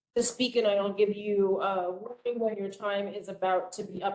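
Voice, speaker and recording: A woman's voice at medium pitch with ordinary pitch variation. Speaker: meeting facilitator. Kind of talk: public meeting. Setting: hybrid meeting, in person and video call. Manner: loud.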